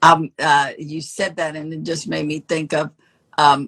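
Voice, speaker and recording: In an American accent, a woman with a very deep, low pitch speaks at a fairly slow pace, the sound dry and close with no echo. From New York, Spanish Harlem. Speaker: actress and comedian. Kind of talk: podcast interview answer.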